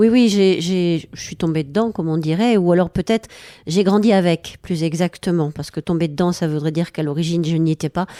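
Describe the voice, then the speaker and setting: A woman's fairly low, dark and mellow voice, fairly even in intonation and fairly quick, in a dry, close recording without echo. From southwest France, Lot-et-Garonne (Villeneuve-sur-Lot). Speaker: painter and songwriter. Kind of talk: radio interview.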